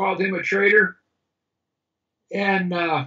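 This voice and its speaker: The voice is raised and projected. It keeps a moderate pace with fairly even intonation. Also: man. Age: 60s. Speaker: self-styled judge and grammar author. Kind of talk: casual chat. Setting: video call. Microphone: bandwidth problems.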